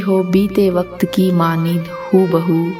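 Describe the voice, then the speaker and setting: Music plays in the background. A woman speaks at a fairly low pitch with monotone, flat intonation. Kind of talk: poetry reading.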